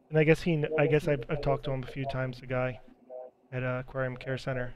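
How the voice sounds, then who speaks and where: Against noticeable background noise, a man rushes along at a very fast pace. His medium-pitched voice stays monotone and flat. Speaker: aquarium hobbyist streamer. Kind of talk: casual live stream chat. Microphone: bad microphone, poor sound.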